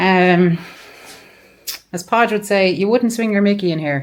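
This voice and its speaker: A woman with an Irish accent speaks at medium pitch. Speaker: travel vlogger. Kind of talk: travel vlog narration. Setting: on a bus.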